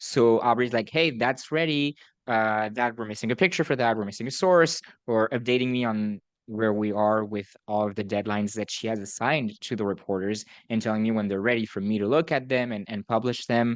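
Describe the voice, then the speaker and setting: A man with a medium pitch talks at a fairly quick pace against a quiet background. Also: ordinary pitch variation. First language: not English. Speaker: student newspaper editor-in-chief and podcast host. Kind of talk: casual podcast conversation.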